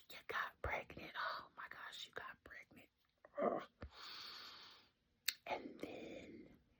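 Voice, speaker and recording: A woman whispers at a fairly slow pace. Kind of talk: casual whispered ramble to camera. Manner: whispered.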